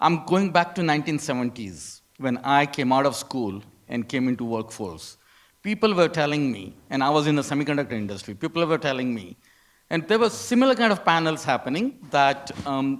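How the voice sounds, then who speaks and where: A man talks fairly quickly in an ordinary speaking voice. His pitch is fairly high and his intonation lively. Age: 60s. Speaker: audience member, retired engineer. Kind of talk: audience question.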